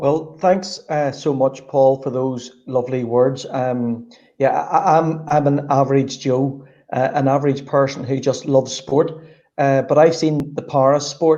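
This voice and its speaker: With a Northern Irish accent, a man with a fairly high pitch and a dark, mellow tone speaks at a fairly slow pace with fairly even intonation. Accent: Northern Irish (Belfast). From Northern Ireland, Belfast. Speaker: sports strategist. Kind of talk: interview.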